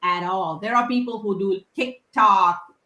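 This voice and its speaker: A woman speaks with a non-native accent. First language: not English. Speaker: software engineer and tech speaker. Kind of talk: casual chat. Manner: halting, frequent restarts.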